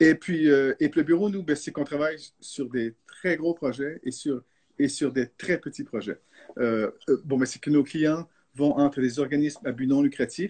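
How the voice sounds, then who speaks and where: Here a man speaks in a fairly high voice with ordinary pitch variation. The sound is dry and close, with no echo. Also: fairly slow pace. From Canada, French-speaking. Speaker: architect. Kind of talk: live video discussion. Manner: halting.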